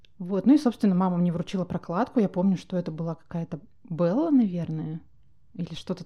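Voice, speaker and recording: Somewhat breathy, a woman's dark, mellow voice with ordinary shifts in pitch. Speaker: podcast host, founder of menstrual hygiene brand. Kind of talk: casual chat.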